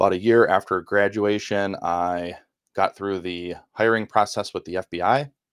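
Moderate pace with a Wisconsin accent, fairly even intonation, and a dry, close sound with no echo on a very clean recording against a silent background. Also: man. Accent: Midwestern US (Wisconsin). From Milwaukee, Wisconsin, US Midwest. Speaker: former FBI employee turned podcast co-host.

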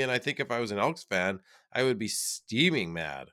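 With vocal fry and a bright, sharp tone, a man speaks at a fairly quick pace in a very clean recording against a silent background. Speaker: fan co-host. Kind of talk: casual sports chat. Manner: animated, joking.

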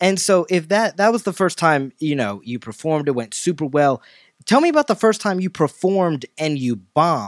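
This man has a normal speaking voice at a fairly high pitch, with lively intonation and a moderate pace. The sound is dry and close, with no echo. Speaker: podcast host. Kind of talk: casual interview.

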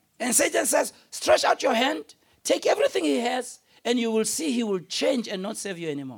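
The speaker moves at a moderate pace with an animated tone and very wide pitch swings. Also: man, extremely high pitch for a man. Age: 50s. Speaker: pastor. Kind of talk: sermon. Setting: church with large congregation and overflow room. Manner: animated, call-and-response preacher who pushes the congregation for an 'amen'; urgent, repetitive, emphatic delivery with direct appeals.

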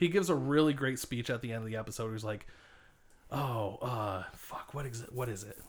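A normal speaking voice at a fairly quick pace, with ordinary pitch variation and big swings in loudness. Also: man, medium pitch for a man. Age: 30s. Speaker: returning podcast guest. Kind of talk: casual chat. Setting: in a van.

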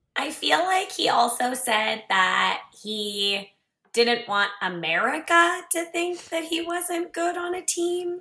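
Very slow, with very wide pitch swings, the voice is raised and projected. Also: woman, high pitch for a woman. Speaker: fan guest. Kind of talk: casual chat.

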